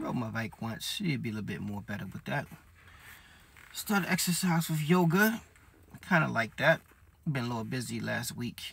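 A man speaks at a moderate pace, with light background noise audible. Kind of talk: casual vlog chat. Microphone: phone near.

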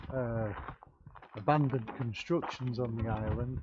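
The speaker is a man. His tone is slightly mellow.

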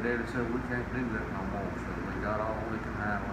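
Through loud background noise, a man with an American accent talks at a moderate pace. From North Carolina. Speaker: beekeeper. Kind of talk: oral history interview answer. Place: hall. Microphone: phone near.

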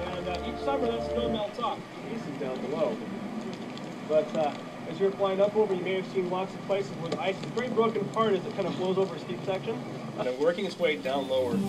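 A man talks at a very fast pace. Loud background noise runs behind him. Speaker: glacier tour guide. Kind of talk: guided tour talk. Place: open country. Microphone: old recording.

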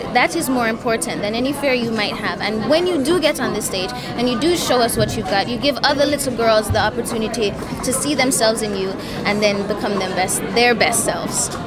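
A woman talks at a fairly quick pace. There is loud background noise. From Jamaica. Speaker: beauty pageant contestant. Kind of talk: interview answer. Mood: warm, upbeat. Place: hall. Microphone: handheld.

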